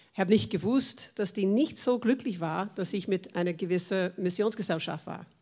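In an American accent, a woman speaks at a moderate pace with a medium pitch and ordinary pitch variation. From USA. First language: English (speaking German). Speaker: church member, former missionary. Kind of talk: personal testimony in panel talk.

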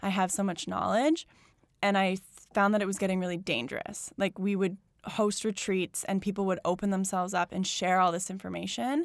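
In a normal speaking voice, a woman with a Canadian accent talks fairly quickly at a medium pitch with ordinary pitch variation, on a very clean recording with a silent background. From Alberta, Canada (Calgary). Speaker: yoga studio founder. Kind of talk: casual interview.

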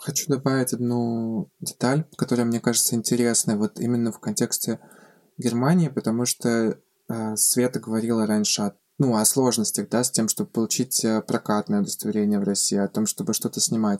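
A man's dark, mellow tone comes through in a dry, close sound with no echo. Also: medium pitch for a man, ordinary pitch variation, moderate pace. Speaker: film director. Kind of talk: casual interview.

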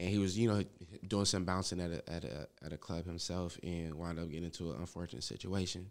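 A man talks at a very fast pace. His voice is very deep and low, with ordinary pitch variation. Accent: American. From Los Angeles, South Central (Manchester area). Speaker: rapper. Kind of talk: casual interview chat.

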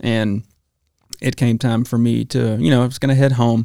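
A man speaks with an Alabama accent and a dark, mellow tone. The recording is very clean, with a silent background. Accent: Southern US (Alabama). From US South, Alabama. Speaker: chef. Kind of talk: testimony.

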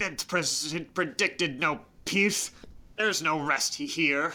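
A put-on character voice at a middle pitch speaks at a very slow pace. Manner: stern, proud, grieving.

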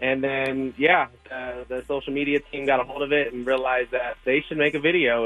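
Here a man talks at a medium pitch. His pace is moderate. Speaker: chef. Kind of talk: casual radio interview. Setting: phone call. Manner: animated.

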